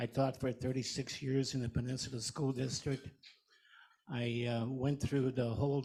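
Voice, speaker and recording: A man's medium-pitched, somewhat breathy voice with a dark, mellow tone and flat, monotone intonation. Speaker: visiting club member, retired teacher. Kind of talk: informal self-introduction. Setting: lunch meeting in a room with audience.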